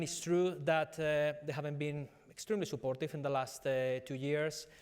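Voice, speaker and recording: In a Spanish accent, a man with a fairly high voice speaks at a moderate pace in a monotone, flat intonation. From Spain, Madrid. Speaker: business executive. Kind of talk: conference panel discussion. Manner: halting, many fillers.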